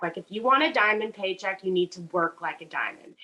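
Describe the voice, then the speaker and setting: A woman with a Southern US accent, at a fairly quick pace, with ordinary pitch variation. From US South, Charleston, South Carolina. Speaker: network marketing seller. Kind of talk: casual testimony on video call. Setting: video call. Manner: halting, many fillers.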